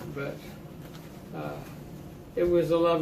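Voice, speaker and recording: A man talks while noticeable background noise plays behind him. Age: 80s+. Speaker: Navy veteran. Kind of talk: interview answer, reminiscing. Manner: halting, hesitant.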